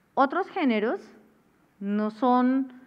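Against a quiet background, a woman speaks in a high voice. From Colombia. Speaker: cultural manager and artist manager; masterclass lecturer. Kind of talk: masterclass lecture. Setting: classroom with live audience. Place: stage. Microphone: headset.

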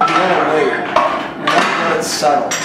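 A man speaks amid loud background noise, and the room echo is audible. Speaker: powerlifting coach. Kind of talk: tutorial. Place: gym. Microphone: camera far.

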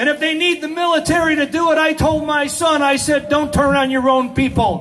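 Light background noise accompanies a man speaking at a moderate pace with fairly even intonation. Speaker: speaker. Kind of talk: political speech. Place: street.

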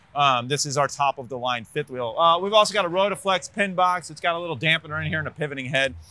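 The sound is dry with no echo. A man with a bright, sharp tone talks at a very fast pace. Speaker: RV dealer salesperson. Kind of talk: product walkthrough presentation. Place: street. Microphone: lapel.

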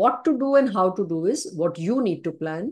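A woman speaks at a moderate pace in an Indian accent. Her pitch swings very widely against a quiet background. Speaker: neurologist and sleep specialist; webinar presenter. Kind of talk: webinar lecture. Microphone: video call.

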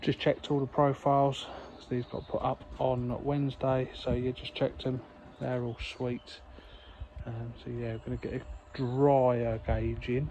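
Over light background noise, a man speaks at a fairly slow pace in a dark, mellow tone with flat, monotone intonation. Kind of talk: casual vlog chat. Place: open country. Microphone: phone near.

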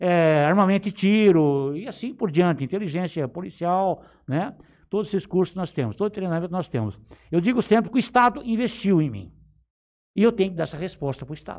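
A man talks at a fairly quick pace in a high voice against a quiet background. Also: lively intonation. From São Paulo state interior, Brazil. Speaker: police chief. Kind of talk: interview. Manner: halting. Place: studio. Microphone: studio mic.

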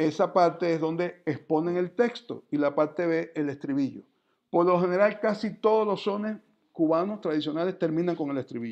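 The speaker keeps a moderate pace and ordinary pitch variation against a quiet background. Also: man, high pitch for a man. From Cuba (Guantánamo); Cuba. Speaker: music professor and percussionist; music lecturer. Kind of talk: lecture. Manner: halting, with many fillers. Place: home room. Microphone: video call.

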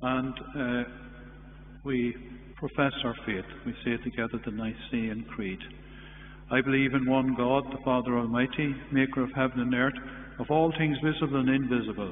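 Pausing long and often, a man speaks at a moderate pace with fairly even intonation, amid light background noise and audible room echo. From Ireland. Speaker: priest. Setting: church livestream. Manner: formal, warm, measured. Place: church.

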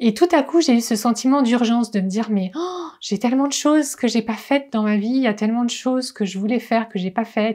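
A woman's fairly high-pitched voice has a dark, mellow tone against a quiet background. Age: 40s. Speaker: wellness coach. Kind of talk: vlog monologue. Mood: reflective, personal. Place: home room.

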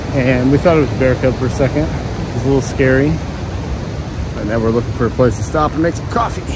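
A man talks at a fairly quick pace with hardly any pauses and ordinary pitch variation. The sound is dry with no echo, but loud background noise is present. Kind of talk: casual vlog chat. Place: open country. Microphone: phone near.

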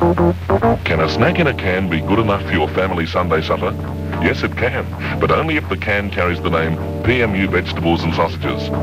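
Speech at a fairly quick pace with clear music in the background. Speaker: radio advertisement voiceover. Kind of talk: radio commercial read. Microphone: old recording.

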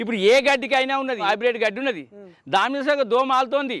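A man with a rural Telangana accent and fairly even intonation. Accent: rural Telangana Telugu dialect. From Telangana, Kamareddy district. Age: 60s. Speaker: dairy farmer. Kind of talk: interview.

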